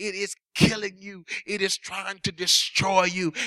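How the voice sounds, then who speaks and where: A man speaks in a raised, projected voice at a high pitch. His tone is animated and stern. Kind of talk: sermon, preacher in full flow, with call-and-response energy. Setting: church. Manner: animated, forceful, building through repeated parallel phrases; stern, confrontational, hammering home blunt warnings.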